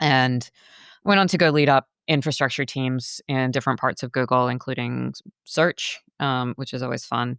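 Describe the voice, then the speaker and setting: A woman speaks at a fairly quick pace in a very deep, low pitch, with fairly even intonation. The sound is dry and close with no echo, on a very clean recording with a silent background. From Australia, rural Queensland. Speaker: climate tech company founder. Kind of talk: interview. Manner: many fillers (um, uh).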